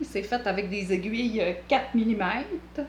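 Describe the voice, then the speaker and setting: A woman with a strong Quebec accent speaks at medium pitch in a somewhat breathy voice with lively intonation, with audible room echo. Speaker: knitting vlogger. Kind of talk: tutorial. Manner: hesitant, many filler sounds.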